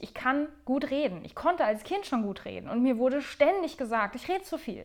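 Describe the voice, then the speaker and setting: A woman's high, lively voice at a moderate pace in a very clean recording with a silent background. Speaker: podcast host and flutist. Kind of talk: casual solo monologue. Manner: unscripted, rambling with fillers.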